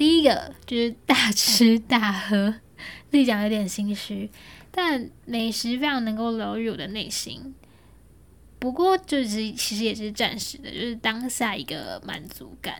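A woman speaks with a fairly high pitch and lively intonation. Her voice is somewhat breathy. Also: fairly slow pace, big swings in loudness. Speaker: podcast host. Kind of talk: solo podcast monologue, unscripted. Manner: casual, conversational.

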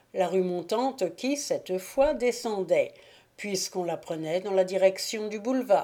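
Reading done in a natural reading voice

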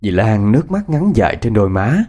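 What you hear is an unforced reading voice.

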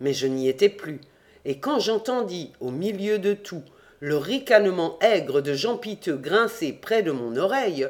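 Reading aloud, the speaker keeps a natural voice.

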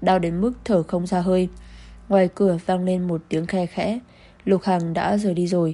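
This unforced reading voice keeps a fairly even intonation.

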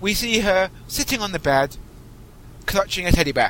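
With a British accent, a man talks at a high pitch for a man. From Britain. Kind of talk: scripted narration; casual chat.

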